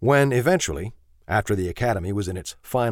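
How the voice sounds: The clip features a natural reading voice. Nothing else is listed here.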